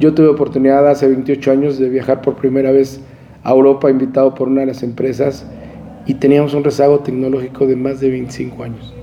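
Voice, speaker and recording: Over noticeable background noise, a man talks at a fairly quick pace in a medium pitch, his intonation flat and monotone. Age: 50s. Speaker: crane company executive and former association president. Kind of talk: interview. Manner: halting, many fillers and repetitions.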